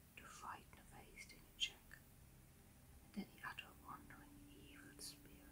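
A woman whispers. Her pace is fairly slow. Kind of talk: ASMR history narration. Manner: whispered.

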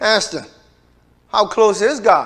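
Over a quiet background, a man with a high pitch talks at a fairly slow pace in an animated tone. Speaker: pastor. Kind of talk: sermon. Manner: animated, preaching with call-and-response. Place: church. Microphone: lapel.

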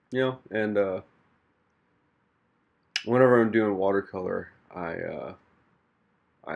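Soft-spoken and fairly low-pitched, a man speaks with an American accent and fairly even intonation. His loudness swings widely, and he leaves long, frequent pauses. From Missouri, USA. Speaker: artist and podcaster. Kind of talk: casual talk to camera while painting. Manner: soft-spoken, relaxed, with hesitations and fillers.

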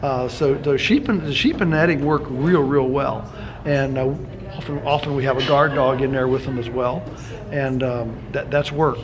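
A man speaks in fairly even intonation while noticeable background noise runs behind him. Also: moderate pace. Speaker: interviewee. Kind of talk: interview answer. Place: meeting room.

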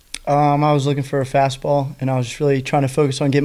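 A man at medium pitch, with a slightly mellow tone, a fairly quick pace and little pitch movement

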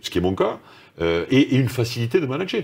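There is vocal fry in this man's speech. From France, Toulouse; France. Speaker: corporate executive; interviewee. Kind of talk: interview. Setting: video call. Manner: halting, many repetitions. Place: studio.

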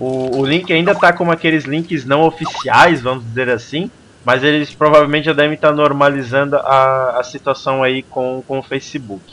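With a normal speaking voice, a man talks at a moderate pace with hardly any pauses, fairly even intonation and a fairly high pitch over light background noise. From Brazil. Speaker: gaming livestream host; stream host. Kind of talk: casual chat. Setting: live stream with Skype call. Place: home room. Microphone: headset.

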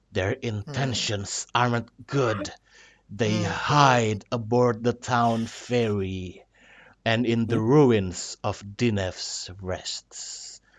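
A man speaks very slowly in a put-on character voice at a medium pitch. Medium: actual play. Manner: eerie, cryptic, solemn.

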